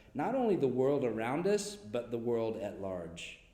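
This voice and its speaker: Audible room echo surrounds a man speaking with an American accent. His dark, mellow voice moves at a fairly slow pace with lively intonation. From US Midwest. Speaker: school counselor. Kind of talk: prepared speech to parents. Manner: formal.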